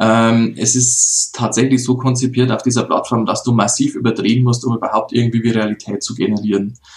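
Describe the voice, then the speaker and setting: A man talks at a fairly quick pace with hardly any pauses, his pitch medium and his intonation monotone and flat. Noticeable background noise runs under his voice. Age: 30s. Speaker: mayor. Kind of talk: interview.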